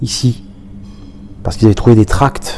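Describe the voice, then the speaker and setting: This is a man with a medium pitch. Noticeable background noise runs behind him. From Paris region, France (Aubervilliers). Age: 60s. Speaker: former professional footballer. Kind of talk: oral history interview. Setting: recorded interview in Roubaix. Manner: halting, many hesitations.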